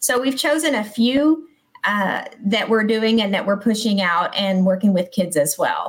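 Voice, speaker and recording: Using a normal speaking voice with an American accent, a woman speaks at a fairly slow pace and fairly high pitch, her intonation lively and her loudness very even. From Texas. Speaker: school principal. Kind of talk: casual chat.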